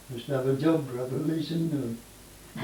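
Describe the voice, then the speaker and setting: Noticeable background noise sits behind a man's fairly high voice. His intonation stays fairly even. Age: 80s+. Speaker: farmer. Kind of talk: interview answer.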